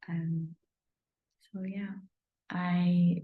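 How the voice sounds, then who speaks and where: A somewhat breathy voice with audible room echo. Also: woman. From northern England, Manchester. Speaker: energy healer. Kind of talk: informal promotional talk to camera. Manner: hesitant, many fillers.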